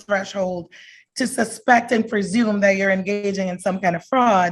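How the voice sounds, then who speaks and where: This woman's voice sits at a medium pitch and sounds somewhat breathy. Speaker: immigration attorney. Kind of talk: presentation at a community forum. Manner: fast.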